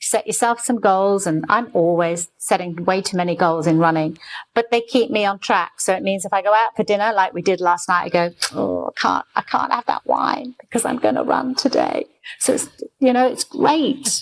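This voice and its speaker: An ordinary speaking voice moves at a moderate pace with lively intonation, the sound dry and close with no echo. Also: woman, medium pitch for a woman. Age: 60s. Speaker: former business association CEO and marathon runner. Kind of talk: casual interview chat.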